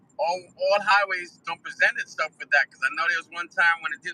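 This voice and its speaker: A man with a New York accent, talking at a fairly quick pace, with a dry, close sound and no echo. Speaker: live streamer. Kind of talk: casual chat. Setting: in a car.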